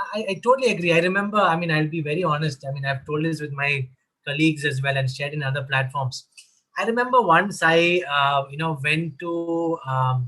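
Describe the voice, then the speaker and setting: With a Keralan accent, a man speaks at a fairly quick pace in a fairly high pitch, with ordinary pitch variation. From Kerala, India. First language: Malayalam. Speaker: mental health advocate. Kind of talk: online panel discussion.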